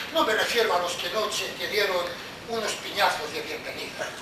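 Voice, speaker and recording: The pace is moderate, with ordinary pitch variation. Room echo is audible, along with noticeable background noise. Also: man. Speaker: actor playing an interrogator. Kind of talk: theatrical monologue. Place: stage. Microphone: camera far.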